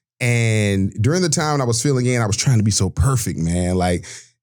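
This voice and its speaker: A man with a Southern US accent at a fairly quick pace, on a very clean recording with a silent background. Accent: Southern US (Georgia). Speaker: sports broadcaster. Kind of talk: podcast interview. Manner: loud; animated.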